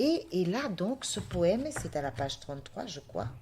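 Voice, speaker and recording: In a very clean recording with a silent background, a woman speaks very slowly in a fairly low, somewhat breathy voice. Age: 70s. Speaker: artist and podcast guest. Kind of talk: testimony.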